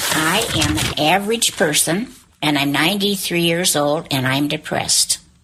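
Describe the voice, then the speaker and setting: A woman with a very deep, low pitch speaks at a moderate pace, her intonation lively and her loudness very even. Noticeable background noise runs under her voice. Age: 90s. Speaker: interview guest. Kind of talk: reading aloud.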